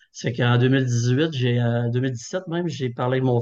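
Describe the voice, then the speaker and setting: A man speaks at a fairly slow pace in a plain, everyday voice. His pitch is medium. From Quebec, Thetford. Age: 50s. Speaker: online work-clothing store owner. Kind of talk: interview.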